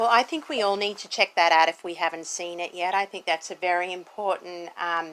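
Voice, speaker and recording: With an Australian accent, a woman talks at a moderate pace in a fairly low pitch. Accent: thick Australian. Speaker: interviewer. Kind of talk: interview.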